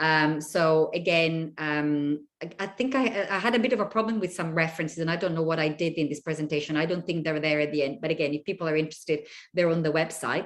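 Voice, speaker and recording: A woman with an Italian accent speaks very fast in a fairly low pitch, with hardly any pauses. Her pitch varies in an ordinary way, and the background is quiet. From Italy. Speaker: university lecturer. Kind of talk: lecture. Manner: hesitant, many fillers.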